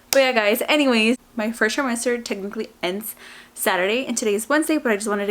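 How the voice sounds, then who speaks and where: Noticeable noise fills the background. Her intonation is lively, and the speaker is a woman. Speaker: vlogger. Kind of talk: casual vlog monologue. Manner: quiet, not talking loud.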